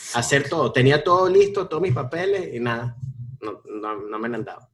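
A man talks at a very fast pace. His fairly high voice is somewhat breathy. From Venezuela. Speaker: comedian and actor. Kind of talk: casual chat.

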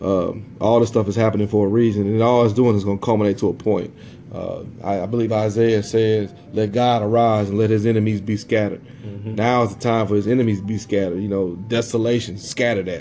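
A man talks at a fairly quick pace. His intonation is monotone and flat. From US Midwest, southern Illinois near St. Louis. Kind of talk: casual religious discussion. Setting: podcast recording, live.

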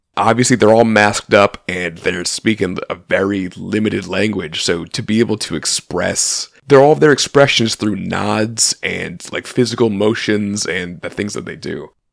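A man's ordinary speaking voice, fairly low in pitch, at a moderate pace with ordinary pitch variation, big swings in loudness and hardly any pauses. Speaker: podcast co-host. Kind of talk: casual chat. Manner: joking.

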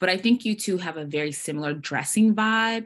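In a very clean recording with a silent background, a woman with an American accent speaks at a fairly quick pace with lively intonation. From Portland, Oregon. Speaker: podcast host. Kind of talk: casual chat. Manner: animated.

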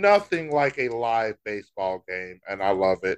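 A fairly low-pitched man at a fairly slow pace, dry and close with no echo, over a quiet background. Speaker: sports podcast co-host. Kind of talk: casual chat. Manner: loud; animated.

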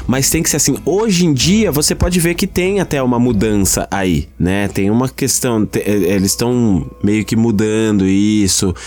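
Over music in the background, a man speaks in an animated tone at a medium pitch with very wide pitch swings, fairly slowly, with hardly any pauses and very even loudness. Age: 30s. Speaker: podcast host. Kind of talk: casual chat.

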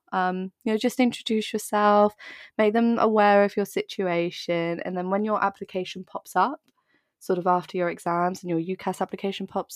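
A woman with a southern English accent speaks at a medium pitch and moderate pace, the sound dry and close with no echo. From southern England, Dorset. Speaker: university student, seminar organizer. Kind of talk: casual chat. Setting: video call. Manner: animated.

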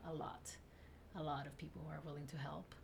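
A woman is heard over noticeable background noise, with audible room echo. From South Texas (Rio Grande Valley), born in Tamaulipas, Mexico. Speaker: attorney. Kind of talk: interview.

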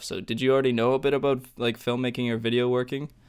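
In a very clean recording with a silent background, a man talks at a medium pitch in an unremarkable speaking voice. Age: 20s. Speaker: podcast co-host. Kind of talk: casual interview chat.

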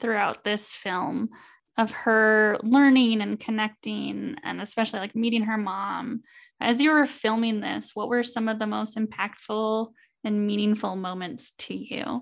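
Over a quiet background, a woman with a normal speaking voice talks at a fairly slow pace. Her pitch is fairly high and her intonation fairly even. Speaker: podcast host. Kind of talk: interview chat.

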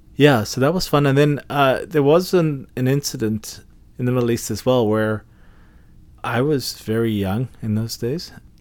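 At a medium pitch, a man talks with ordinary pitch variation. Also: moderate pace. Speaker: podcast host. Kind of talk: casual chat. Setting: studio.

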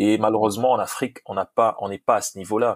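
The sound is dry and close, without any echo. Intonation stays flat and monotone. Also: man. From DR Congo. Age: young. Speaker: football coach. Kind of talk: interview.

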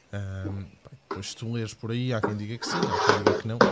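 A man with a European Portuguese accent at a fairly quick pace, amid noticeable background noise. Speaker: tech podcast co-host. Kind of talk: casual live-stream chat.

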